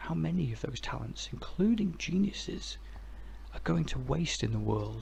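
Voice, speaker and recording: A soft-spoken man at a fairly slow pace, relaxed in tone, with noticeable background noise. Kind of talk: ASMR philosophy ramble. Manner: soft-spoken, relaxed.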